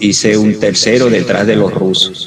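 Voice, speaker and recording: With a Venezuelan accent and ordinary pitch variation, the speaker talks at a moderate pace. Audible room echo and music in the background accompany the voice. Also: man. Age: 60s. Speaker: retired pro cyclist, masters racer. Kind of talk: interview.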